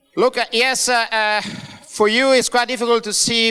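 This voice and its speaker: A man with an Italian accent uses a raised, projected voice at an extremely high pitch, his intonation fairly even. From Italy. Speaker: bank founder. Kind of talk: conference talk. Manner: hesitant, many fillers.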